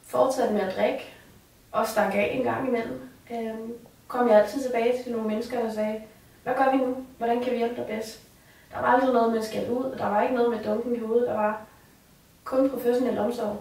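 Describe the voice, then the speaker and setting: A woman speaks at a fairly quick pace with long, frequent pauses, her fairly high pitch held in a monotone, flat intonation, amid audible room echo and noticeable background noise. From Copenhagen area, Denmark. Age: 20s. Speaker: resident of a care facility. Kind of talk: personal testimony. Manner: hesitant, with fillers.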